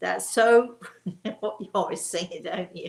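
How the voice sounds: A woman's croaky put-on character voice at a medium pitch and a fairly slow pace.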